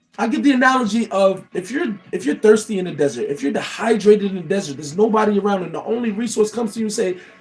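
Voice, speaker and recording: A man at a very fast pace and high pitch, animated in tone, with ordinary pitch variation, big swings in loudness and noticeable background noise. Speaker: motivational livestreamer. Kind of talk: motivational talk. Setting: livestream.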